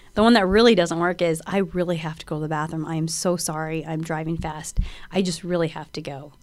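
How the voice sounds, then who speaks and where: A woman with an American accent, fairly low in pitch, at a very fast pace with fairly even intonation and big swings in loudness. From US Pacific Northwest, Washington State. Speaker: prosecutor, guest co-host. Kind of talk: casual chat.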